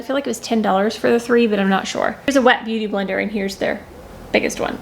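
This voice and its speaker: Through noticeable background noise, a woman talks at a very fast pace, her fairly high voice showing ordinary pitch variation. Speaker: beauty vlogger. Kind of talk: product review vlog. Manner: casual, filler-heavy.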